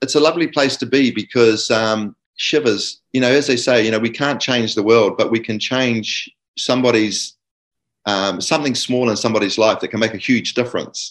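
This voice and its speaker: A man with a New Zealand accent speaks with fairly even intonation. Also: medium pitch for a man, moderate pace. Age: 60s. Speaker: guest father sharing experiences. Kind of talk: casual interview chat.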